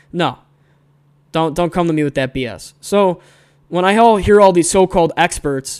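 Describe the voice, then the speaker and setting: An American accent at a moderate pace, on a very clean recording with a silent background. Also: man. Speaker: podcast host and aviation maintenance student. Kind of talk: angry rant; argumentative discussion. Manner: fired up, scolding; emphatic, exasperated.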